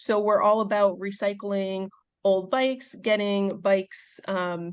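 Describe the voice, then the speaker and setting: Someone with a Midwestern American accent speaks against a quiet background. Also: woman. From US Midwest, Chicago suburbs. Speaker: veterinarian and bike shop volunteer. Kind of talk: podcast interview.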